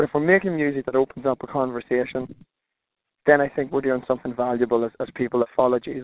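Speaking very fast, a man with an Irish accent uses a medium pitch. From Ireland. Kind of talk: interview. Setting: phone call while driving.

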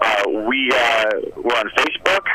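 Over noticeable background noise, a man talks with an American accent. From Phoenix, Arizona. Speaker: rock band musician. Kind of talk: radio interview. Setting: phone call. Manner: halting, self-deprecating.

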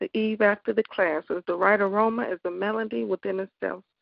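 This woman has an ordinary speaking voice at a medium pitch. She talks at a fairly quick pace. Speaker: radio host. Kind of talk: live call-in radio show. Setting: phone call-in radio show.

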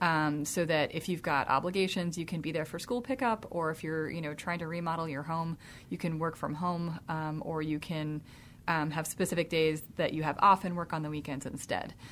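In an unremarkable speaking voice, a woman with a fairly low pitch and an American accent speaks at a moderate pace with fairly even intonation on a very clean recording with a silent background. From US South, Jonesboro, Georgia. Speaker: tech company founder. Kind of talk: radio interview.

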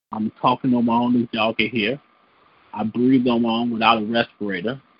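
This man talks with a Chicago accent. His pitch is medium. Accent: Chicago American English.

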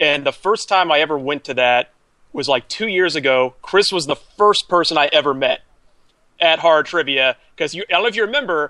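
A man with an American accent, bright and sharp in tone, at a fairly quick pace, in dry, close sound with no echo over a quiet background. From Georgia, US South. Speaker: podcast co-host. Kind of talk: casual chat.

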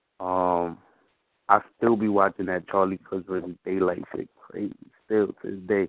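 A man with an American accent speaks at a moderate pace. His pitch is very deep and low, his intonation monotone and flat. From New York, the Bronx. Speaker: battle rapper. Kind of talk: casual chat.

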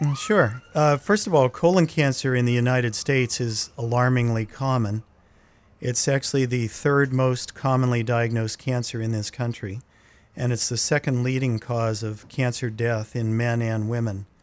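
A man with an American accent has an unremarkable speaking voice at a medium pitch. He keeps a moderate pace and fairly even intonation. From southwestern Pennsylvania, Laurel Highlands. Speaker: gastroenterologist. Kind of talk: radio interview.

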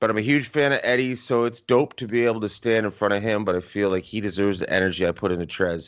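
Speaking at a very fast pace, a man with a Canadian accent has a fairly low pitch and fairly even intonation. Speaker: podcast host. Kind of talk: casual podcast recap.

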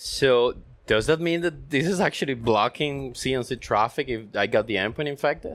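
With a plain, everyday voice, a man speaks at a moderate pace and a medium pitch that shows ordinary variation. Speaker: network consulting engineer and podcast co-host. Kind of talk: technical panel discussion.

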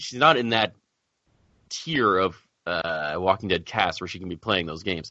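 A man is speaking. His pace is fairly quick. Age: 30s. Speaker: podcast co-host. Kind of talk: casual chat.

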